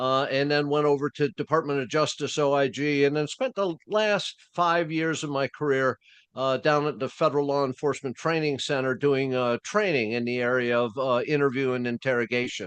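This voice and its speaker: Against a quiet background, a man speaks in a normal speaking voice at a moderate pace with ordinary pitch variation and hardly any pauses, the sound dry and close with no echo. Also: fairly high pitch for a man. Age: 60s. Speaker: retired FBI agent and interrogation trainer. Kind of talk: interview. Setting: podcast.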